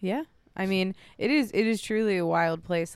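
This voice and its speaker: A woman with an American accent, an unremarkable speaking voice, ordinary pitch variation and a fairly quick pace, on a very clean recording with a silent background. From West Virginia, Lewis County. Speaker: comedian. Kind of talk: casual chat.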